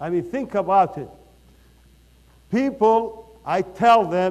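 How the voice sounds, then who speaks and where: A man with an Iraqi accent, lively intonation, and a fairly slow pace. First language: Arabic. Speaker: company founder and CEO. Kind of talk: motivational speech. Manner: animated.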